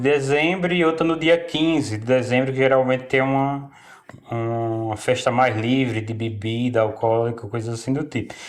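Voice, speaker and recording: A man speaks at a moderate pace. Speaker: local resident. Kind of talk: interview. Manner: halting.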